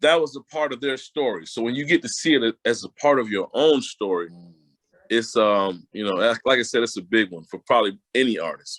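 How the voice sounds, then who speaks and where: A man with an American accent and a normal speaking voice talks at a moderate pace and medium pitch, with lively intonation and a dry, close sound with no echo. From Connecticut (Hartford). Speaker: R&B singer. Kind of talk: interview.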